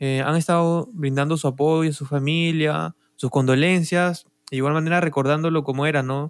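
The speaker has a normal speaking voice and talks at a moderate pace. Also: man. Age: 20s. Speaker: podcast co-host. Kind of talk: casual chat.

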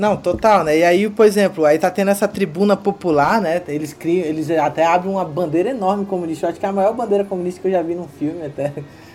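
A man talks very fast in a high voice. His pitch varies normally, and there is noticeable background noise. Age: 30s. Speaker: podcast host. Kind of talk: casual film discussion.

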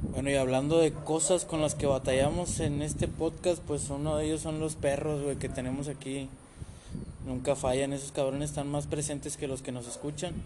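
A man speaks in a Mexican accent at a moderate pace. His pitch is fairly high, and his intonation is monotone and flat. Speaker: podcast host. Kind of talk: casual chat. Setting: podcast recording app.

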